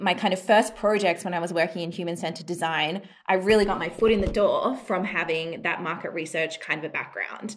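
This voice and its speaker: A woman's fairly low voice in an Australian accent, fairly quick, with fairly even intonation. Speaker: design and UX research consultant. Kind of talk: interview.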